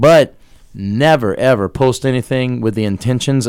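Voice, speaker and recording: The man's voice sits at a medium pitch, with an American accent. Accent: Cajun-tinged south Louisiana English. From US South, Louisiana (Terrebonne Parish bayou). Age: 40s. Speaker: social media entertainer and DJ. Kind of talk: casual interview. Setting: radio studio.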